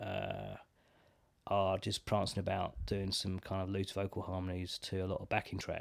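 Someone with an English accent speaks at a moderate pace. The recording is very clean, with a silent background. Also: man. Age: 30s. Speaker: drummer. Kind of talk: casual chat.

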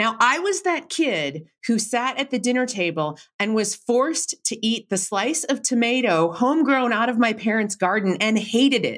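A woman with an ordinary speaking voice talks at a moderate pace and fairly high pitch, her intonation lively, her loudness very even, and hardly any pauses between words. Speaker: researcher and author. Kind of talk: interview conversation.

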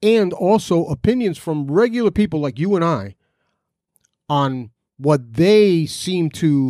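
A man with an American accent speaks at a fairly slow pace, with a fairly high pitch and very wide pitch swings in a dark, mellow tone. The recording is very clean, with a silent background. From New Jersey. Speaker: podcast host. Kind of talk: unscripted monologue.

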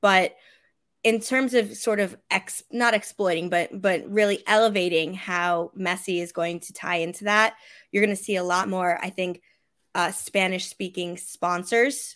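In a very clean recording with a silent background, a woman with a normal speaking voice and medium pitch talks at a fairly slow pace, her intonation fairly even but her loudness swinging widely. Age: 20s. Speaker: sports marketing specialist and soccer fan. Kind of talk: casual chat.

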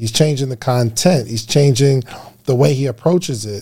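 A man with an American accent speaks at a medium pitch and a moderate pace, with ordinary pitch variation, in a plain, everyday voice. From New Jersey. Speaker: podcast guest. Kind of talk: casual chat.

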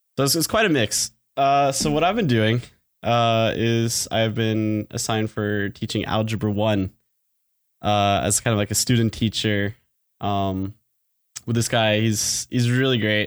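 This is an ordinary speaking voice from a man with a fairly low pitch, talking at a fairly slow pace with fairly even intonation. The sound is dry and close with no echo, on a very clean recording with a silent background. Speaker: engineering student and student teacher. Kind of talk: casual chat.

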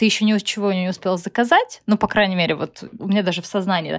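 Dry and close with no echo, this woman's voice sits at a medium pitch. She speaks at a moderate pace on a very clean recording with a silent background. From Russia. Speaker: blogger and comedic actress. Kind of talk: casual interview. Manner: animated.

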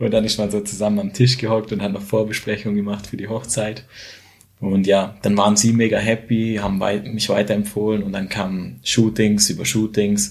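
A man's fairly low-pitched voice, monotone and flat in intonation, at a moderate pace. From Switzerland, near Schaffhausen. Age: 20s. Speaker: photographer and videographer. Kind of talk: casual interview.

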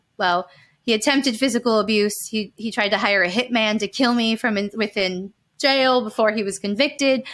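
In a very clean recording with a silent background, a woman speaks at medium pitch with an American accent. Hers is a normal speaking voice. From Calabasas, California. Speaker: survivor and victim advocate. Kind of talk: interview testimony.

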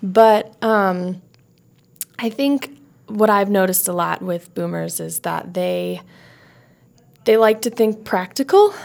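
A woman at a very slow pace, with long, frequent pauses. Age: 20s. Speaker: podcast guest, young professional. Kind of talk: casual interview chat.

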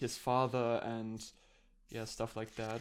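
The speaker talks at a fairly slow pace with a German accent. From Germany. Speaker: podcast co-host, video essayist. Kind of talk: casual chat.

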